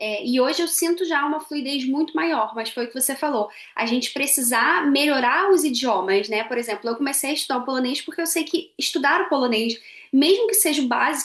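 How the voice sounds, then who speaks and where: A woman's high voice rises and falls with lively intonation as she talks fairly quickly. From Brazil. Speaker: podcast co-host, marketing professional. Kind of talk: casual conversation.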